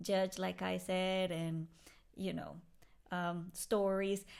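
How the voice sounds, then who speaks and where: In a very clean recording with a silent background, a woman with a Spanish accent talks at a fairly slow pace in a monotone, flat intonation. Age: 40s. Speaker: podcast host. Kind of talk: casual chat.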